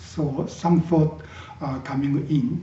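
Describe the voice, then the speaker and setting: The man speaks at a very slow pace with ordinary pitch variation. Audible room echo is present. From Japan. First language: Japanese. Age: 60s. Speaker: Zen teacher. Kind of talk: dharma talk. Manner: halting, with many fillers.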